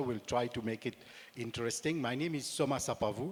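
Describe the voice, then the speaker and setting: A man with a Mauritian accent, at medium pitch with ordinary variation. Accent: Mauritian, slight French touch. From Mauritius. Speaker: aviation industry director. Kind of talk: panel discussion.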